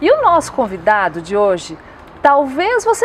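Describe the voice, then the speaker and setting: Noticeable background noise surrounds the recording. The woman's pitch swings very widely. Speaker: show host. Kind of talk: TV show introduction.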